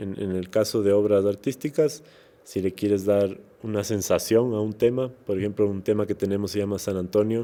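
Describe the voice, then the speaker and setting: A man's fairly low voice at a moderate pace, with fairly even intonation. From Ecuador, Quito (highlands). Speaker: musician and actor. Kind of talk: interview conversation. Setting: podcast recording. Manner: hesitant, many repeated words and fillers.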